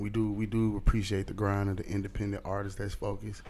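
A man talking at a very fast pace, his pitch fairly low. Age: 30s. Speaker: podcast host. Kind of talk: casual interview. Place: studio. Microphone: studio mic.

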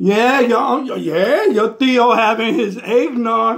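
A man's put-on character voice, drawling at a very slow pace. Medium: comedy sketch. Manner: sassy, drawling, peppered with "mm-hmm" and "honey".

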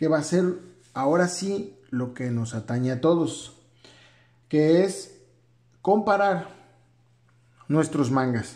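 A man talks very slowly in a dark, mellow tone. His intonation is lively. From Mexico. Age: 30s. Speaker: manga YouTuber and physician. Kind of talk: video commentary. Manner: halting, many fillers.

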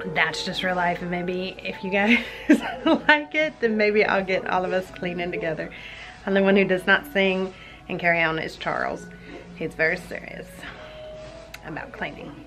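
Over clear background music, a woman talks with long, frequent pauses. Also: ordinary pitch variation, moderate pace. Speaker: mom vlogger. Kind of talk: casual vlog chat. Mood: light, a bit apologetic. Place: home room. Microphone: phone near.

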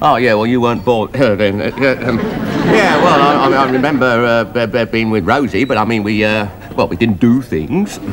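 Over crowd noise in the background, a man talks at a moderate pace. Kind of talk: scripted comedy dialogue. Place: bar.

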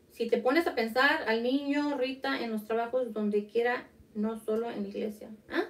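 With a fairly high pitch and ordinary pitch variation, a woman talks at a moderate pace. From Mexico (Zacatecas); Mexico. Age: 30s. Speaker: podcast co-host. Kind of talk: casual chat. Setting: livestream. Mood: personal, reflective. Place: home room. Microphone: studio mic.

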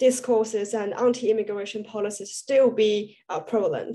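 A woman speaks with a Chinese accent. Her tone is dark and mellow. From China. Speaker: student panel moderator. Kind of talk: panel interview. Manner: halting. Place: home room. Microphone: video call.

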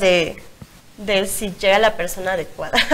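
Her speech moves at a very slow pace. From Mexico. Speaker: blogger and single mother; talk show guest. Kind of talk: interview. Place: studio.

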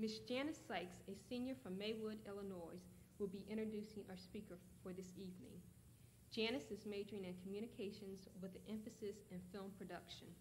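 A woman with a normal speaking voice speaks at a medium pitch with fairly even intonation. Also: fairly quick pace. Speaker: event announcer. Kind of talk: announcement.

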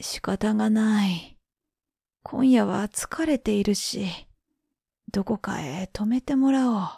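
A woman's somewhat breathy, dark, mellow tone at a fairly high pitch, with lively intonation, a very slow pace and long, frequent pauses, on a very clean recording with a silent background. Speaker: freelance announcer, former TV network caster. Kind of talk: folk tale reading. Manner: slow, relaxed, calm.

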